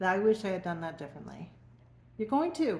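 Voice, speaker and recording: A woman talks at a fairly quick pace with a medium pitch. Her voice is somewhat breathy. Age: 60s. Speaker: emotional wellness coach. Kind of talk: personal testimony to camera. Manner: conversational, informal.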